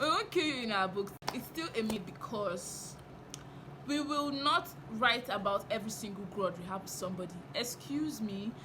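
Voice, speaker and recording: A woman with a fairly high pitch speaks in an animated tone with lively intonation and big swings in loudness. Audible room echo and noticeable background noise surround her voice. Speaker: novelist and writing teacher, vlogger. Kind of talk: casual vlog monologue.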